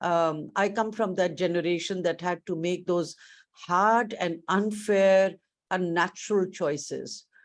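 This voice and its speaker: A woman's normal speaking voice, fairly slow, with ordinary pitch variation, over a quiet background. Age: 60s. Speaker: education leader, keynote speaker. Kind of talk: keynote speech. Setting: virtual conference.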